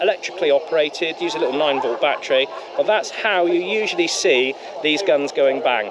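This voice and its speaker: Over noticeable noise in the background, the intonation sounds lively. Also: man. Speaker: tank museum presenter. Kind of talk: video presentation.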